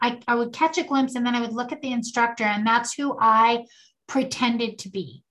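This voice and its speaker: Her voice sits high, a woman speaking. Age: 60s. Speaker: podcast co-host, mother and grandmother. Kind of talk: casual chat. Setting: video call.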